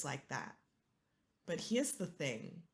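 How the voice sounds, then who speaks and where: Lively intonation marks a woman's somewhat breathy speech. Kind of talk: casual talk to camera.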